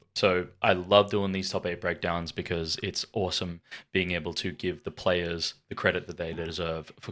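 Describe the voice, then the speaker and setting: This man has an Australian accent and a very deep, low pitch, speaking at a moderate pace in a monotone, flat way. The recording is very clean with a silent background. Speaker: card game YouTuber. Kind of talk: deck review commentary. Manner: soft-spoken.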